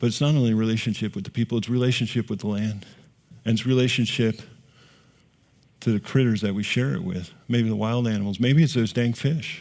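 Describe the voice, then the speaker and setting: A man's normal speaking voice at a medium pitch, fairly quick in pace, with ordinary pitch variation. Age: 60s. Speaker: rancher and conference speaker. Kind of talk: conference talk. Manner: casual, conversational.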